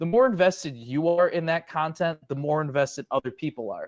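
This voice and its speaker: A man speaks at a fairly quick pace in a high pitch and an animated tone, the sound dry and close with no echo. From Chicago, south side. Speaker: sports media personality. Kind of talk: podcast interview. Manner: loud.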